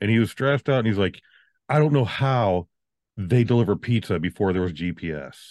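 With an American accent and lively intonation, a man talks at a fairly quick pace, the sound dry and close with no echo against a quiet background. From Virginia. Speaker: podcast co-host. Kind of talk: casual chat.

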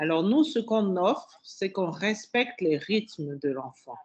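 The speaker has a normal speaking voice and a fairly slow pace. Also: woman. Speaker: school director. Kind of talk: radio interview.

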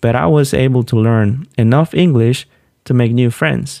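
With a Spanish accent, a man talks at a moderate pace in a dark, mellow tone. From Honduras, Olanchito. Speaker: podcast host, PhD student in animal science. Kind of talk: personal storytelling monologue.

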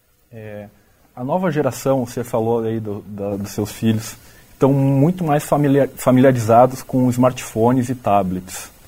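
The voice moves at a fairly slow pace with a dark, mellow tone. Its loudness swings widely. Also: man, medium pitch for a man, ordinary pitch variation. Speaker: student podcast host. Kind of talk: interview.

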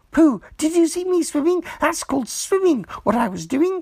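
In a put-on character voice, a man talks at a moderate pace with a squeaky, extremely high pitch. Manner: excited, proud.

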